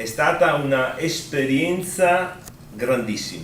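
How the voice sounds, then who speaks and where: A man's speech is accompanied by obvious background noise and reverberates noticeably off the room. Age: 60s. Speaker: outgoing provincial president, politician. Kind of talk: farewell interview statement.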